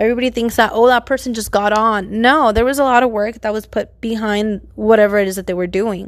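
In an American accent, a woman talks very fast at a fairly high pitch with fairly even intonation, on a very clean recording with a silent background. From San Bernardino, Southern California. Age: late 20s. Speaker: podcaster and teaching student. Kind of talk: casual monologue. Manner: hesitant with many fillers.

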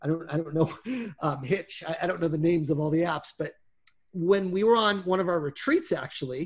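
A man with a high pitch speaks at a moderate pace, his pitch varying in an ordinary way. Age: 40s. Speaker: sales trainer. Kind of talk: personal testimony in interview. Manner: halting, many fillers and repetitions.

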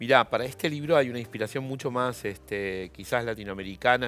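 With ordinary pitch variation, the words flow at a fairly quick pace. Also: man. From Argentina. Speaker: journalist and novelist. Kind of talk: interview. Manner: halting.

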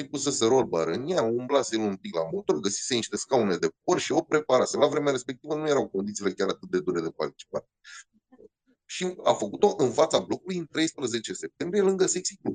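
This man has an animated tone, a fairly high pitch with very wide swings, and vocal fry. The sound is dry and close, with no echo. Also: fairly quick pace. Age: 40s. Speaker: rally co-driver and motorsport commentator. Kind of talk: interview storytelling.

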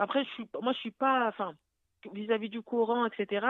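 With a plain, everyday voice, a woman speaks fairly slowly at a fairly high pitch and with fairly even intonation. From France (Paris). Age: 30s. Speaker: widow sharing her story, nursing student. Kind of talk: testimony. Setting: phone call.

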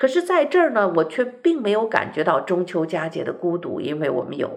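Noticeable background noise sits behind the voice. The delivery keeps a moderate pace. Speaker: radio host. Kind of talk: radio talk show monologue. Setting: radio studio.

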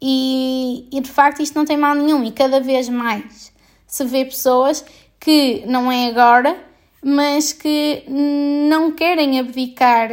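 The recording is very clean, with a silent background. A woman speaks very slowly at a high pitch, her intonation fairly even. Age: 20s. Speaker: podcaster and doctor. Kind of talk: casual monologue.

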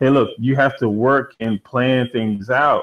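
This man speaks in an American accent. His intonation stays fairly even. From Washington DC area. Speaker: animator and gamer. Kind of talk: casual chat.

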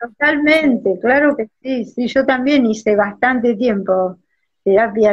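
Somewhat breathy, a woman talks at a fairly slow pace in a Rioplatense accent. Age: 60s. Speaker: astrologer. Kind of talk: casual chat.

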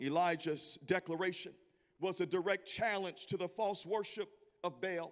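Talking at a moderate pace with fairly even intonation, a man with an American accent has a high pitch for a man. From US South, Memphis, Tennessee. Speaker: visiting preacher. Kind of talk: sermon. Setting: church.

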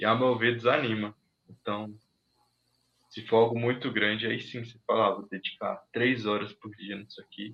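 A man's medium-pitched speech holds a monotone, flat intonation throughout. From Minas Gerais, Brazil. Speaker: technology professional. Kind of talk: casual interview on a livestream.

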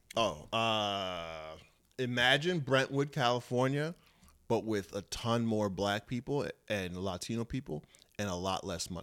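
Speaking at a fairly slow pace with a New York accent, the voice has an animated tone and lively intonation in a very clean recording with a silent background. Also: man, medium pitch for a man. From Long Island, New York. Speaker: comedian and boxer. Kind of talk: casual chat.

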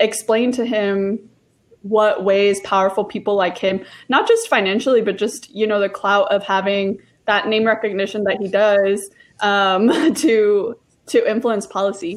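A woman's unremarkable speaking voice, fairly high in pitch and fairly slow, in a very clean recording with a silent background. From Oklahoma, raised there after immigrating from Mexico. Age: 20s. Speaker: immigration policy worker. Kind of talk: casual chat.

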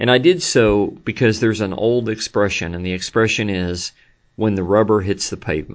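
With an unremarkable speaking voice, a man talks at a moderate pace, his pitch fairly low and his pitch variation ordinary. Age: 50s. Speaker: pastor. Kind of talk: sermon recap recorded at desk. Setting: at a desk, not in church. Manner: many filler words (um, uh).

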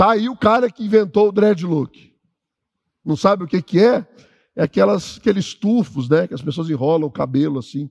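Animated and high-pitched, a man speaks at a moderate pace with very wide pitch swings, in a dry, close sound with no echo. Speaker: pastor. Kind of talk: sermon. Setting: church.

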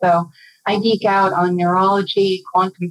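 Dry and close with no echo, a woman's medium-pitched voice comes across as an ordinary speaking voice. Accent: American. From Minnesota, US. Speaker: organizational development facilitator. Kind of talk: interview.

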